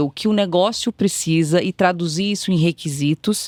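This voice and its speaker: A woman with an Espírito Santo accent speaks in a dry, close sound with no echo. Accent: Capixaba (Espírito Santo). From Brazil, Espírito Santo. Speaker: tech executive. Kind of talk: podcast interview.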